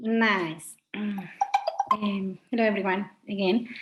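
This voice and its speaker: Against a quiet background, a woman speaks in a fairly high, somewhat breathy voice with fairly even intonation. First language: Spanish. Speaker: professor. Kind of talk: online panel presentation.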